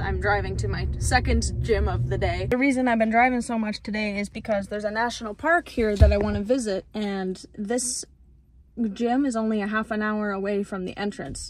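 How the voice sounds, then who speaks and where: A woman at a moderate pace, with light background noise. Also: dry sound with no echo. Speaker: van-life vlogger. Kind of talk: casual vlog chat. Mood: cheerful. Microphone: phone near.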